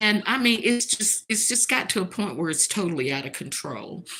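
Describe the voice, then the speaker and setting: A woman with a Southern US accent speaks at a medium pitch and a moderate pace, with very wide pitch swings. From US South, North Carolina. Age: 70s. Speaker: livestream host. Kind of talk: casual livestream monologue.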